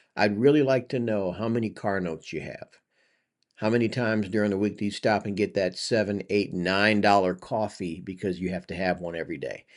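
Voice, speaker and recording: Over a quiet background, a man talks at a fairly quick pace in an ordinary speaking voice. His pitch is fairly low, with ordinary variation. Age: 50s. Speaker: commentary vlogger. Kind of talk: reaction commentary. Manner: casual, conversational.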